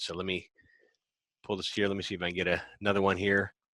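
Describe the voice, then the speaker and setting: A man's very deep, low voice with a bright, sharp tone and an American accent, in a dry, close sound with no echo and a very clean recording over a silent background. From United States. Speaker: podcast host. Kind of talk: live Q&A hosting.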